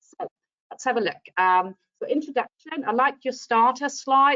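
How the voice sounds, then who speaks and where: Speaking in a German accent, a woman has a high pitch. Her pace is moderate and her pitch variation ordinary. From Germany. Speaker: teacher trainer. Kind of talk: lesson feedback on video call.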